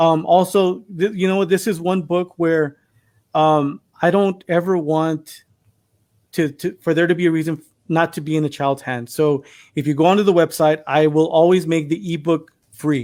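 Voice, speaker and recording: A man's high-pitched voice with fairly even intonation, on a very clean recording with a silent background. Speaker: children's book author, former teacher. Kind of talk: live stream interview. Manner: fast.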